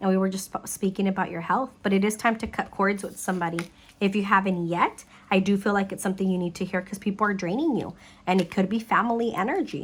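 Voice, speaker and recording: A woman's somewhat breathy voice at a very fast pace. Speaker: psychic tarot reader. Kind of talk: tarot reading.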